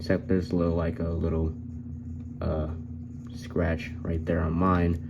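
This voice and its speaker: A man talks at a moderate speed, his voice carrying audible room echo. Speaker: toy reviewer. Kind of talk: product review. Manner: hesitant fillers.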